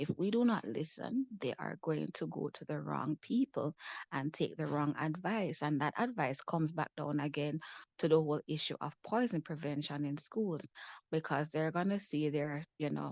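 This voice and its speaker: A woman speaks at a moderate pace in a very deep, low voice with vocal fry and ordinary pitch variation, recorded with a dry, close sound with no echo against a quiet background. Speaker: mental wellness advocate. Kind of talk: panel discussion talk.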